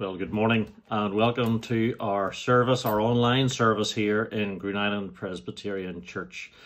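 A man talks at a moderate pace with fairly even intonation against a quiet background. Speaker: church minister. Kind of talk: sermon-style welcome. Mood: warm, welcoming. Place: home room. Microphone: phone near.

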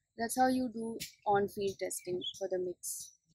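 Noticeable background noise is present. A woman's voice comes through it. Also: dry sound with no echo. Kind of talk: interview answer. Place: garden.

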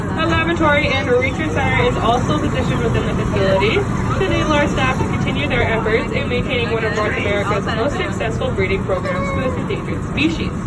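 The speech runs at a very fast pace with hardly any pauses. Crowd noise can be heard in the background. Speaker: tour guide. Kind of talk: guided tour commentary. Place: train.

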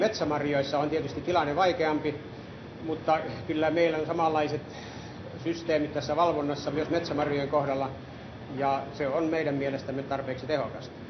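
Amid noticeable background noise, a man with a fairly high pitch speaks at a moderate pace in a monotone, flat intonation. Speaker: berry processing factory representative. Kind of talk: interview answer. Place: factory. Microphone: old recording.

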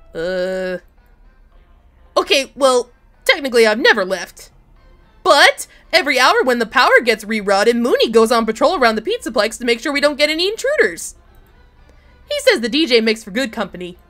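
With faint music in the background, a female-sounding, put-on character voice with a fairly high pitch and an energetic, bubbly tone moves at a fairly quick pace between long, frequent pauses. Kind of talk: fan-game voice acting. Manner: energetic, bubbly, friendly.

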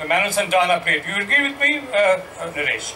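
Over light background noise, a man with an Indian accent uses a raised, projected voice at a high pitch, with very wide pitch swings and a moderate pace. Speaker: journalist. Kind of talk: panel discussion. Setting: stage with audience. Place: stage. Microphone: handheld.

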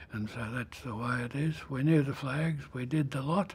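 Somewhat breathy, a man talks with a dark, mellow tone, fairly even intonation and a fairly high pitch for a man. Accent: Australian. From Australia. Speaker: World War II veteran, former merchant navy radio officer. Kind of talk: elder life story, unhurried and reflective war memoir told to an interviewer. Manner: slow, halting, with frequent 'uh' fillers and restarts; plainspoken and matter-of-fact, even about ships blowing up. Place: studio. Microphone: lapel.

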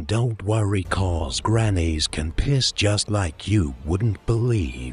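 Over clear background noise, a man with a fairly low voice talks at a very slow pace. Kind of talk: parody movie trailer voice-over. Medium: voice reel. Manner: hyped, rambling, jokey.

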